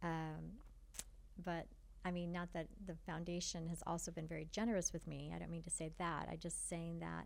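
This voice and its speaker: The woman's fairly low voice is monotone and flat, at a moderate pace. Room echo is audible. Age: 60s. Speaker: foundation partnerships director. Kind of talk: podcast interview.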